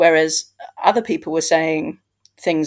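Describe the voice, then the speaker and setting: The pace stays moderate. The speaker is a woman with a British accent. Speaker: podcast host. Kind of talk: casual chat.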